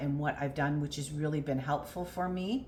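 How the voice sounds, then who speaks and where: A somewhat breathy voice with audible room echo. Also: woman. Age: 50s. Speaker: weight loss vlogger. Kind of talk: personal vlog. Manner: hesitant, many fillers.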